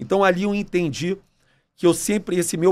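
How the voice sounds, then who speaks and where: This man talks at a fairly quick pace in a voice that sits high for a man. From Brazil, Rio de Janeiro. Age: 40s. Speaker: entrepreneur, restaurant chain CEO; podcast guest. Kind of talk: casual interview. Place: studio. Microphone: studio mic.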